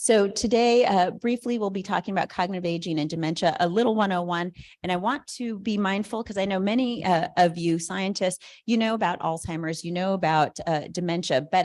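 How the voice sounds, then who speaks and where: The recording is very clean, with a silent background. A woman talks fairly quickly at a medium pitch, her pitch varying in an ordinary way. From Southern California, Colombian-Caribbean immigrant family. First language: Spanish. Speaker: neuropsychologist and researcher. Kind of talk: conference talk. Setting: conference room with audience. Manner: many fillers (uh, you know).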